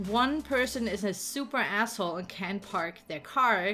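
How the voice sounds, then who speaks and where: With music in the background, a woman talks at a fairly slow pace in a German accent, her pitch varying in an ordinary way. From Germany. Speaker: gaming YouTuber and streamer. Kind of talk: game build tour. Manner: casual, with many fillers.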